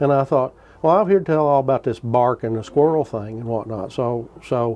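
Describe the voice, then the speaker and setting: Speaking with a Kentucky accent, a man talks at a medium pitch. His pace is moderate. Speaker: traditional gun builder. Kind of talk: storytelling.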